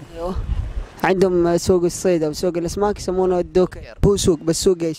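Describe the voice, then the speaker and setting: A high-voiced man at a moderate pace in a monotone, flat intonation, with a dry sound with no echo and light background noise. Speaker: street interviewer. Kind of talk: street interview questions. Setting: outdoors, street. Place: street. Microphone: handheld.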